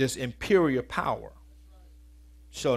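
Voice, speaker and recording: A man with an energetic tone at a moderate pace. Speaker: preacher. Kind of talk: sermon. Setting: church. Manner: colloquial and energetic, shifting from scripture reading to punchy vernacular. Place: church. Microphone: headset.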